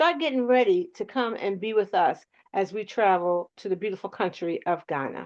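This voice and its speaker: A woman with a South Philadelphia accent, medium pitch and a moderate pace. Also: quiet background. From US, South Philadelphia. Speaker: talk show co-host. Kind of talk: online panel discussion, announcements.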